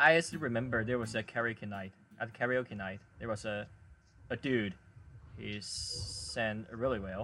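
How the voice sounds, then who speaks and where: A man with a Chinese accent speaks at a medium pitch in a bright, sharp tone. His pace is fairly slow with ordinary pitch variation and long, frequent pauses. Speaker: podcast host. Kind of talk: casual chat. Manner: halting.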